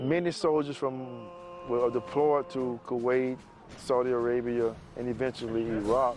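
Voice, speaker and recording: With music in the background, a man with an American accent speaks at a medium pitch with ordinary pitch variation. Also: moderate pace. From US South, Macon, Georgia. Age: 50s. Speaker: retired army soldier. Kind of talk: testimony. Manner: halting, many fillers.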